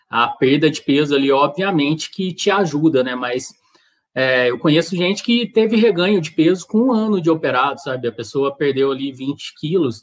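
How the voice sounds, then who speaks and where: A normal speaking voice from a man, fairly high in pitch, with lively intonation at a moderate pace over a quiet background. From Brazil. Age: 30s. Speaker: amateur marathon runner; guest. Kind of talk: casual chat. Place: home room.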